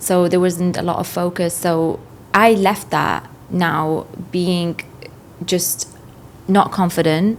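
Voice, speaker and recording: At a very slow pace, a woman speaks with fairly even intonation and a fairly low pitch. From northern England (Newcastle coast), immigrant as a child. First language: not English. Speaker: finance professional, former real estate agent. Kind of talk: podcast interview.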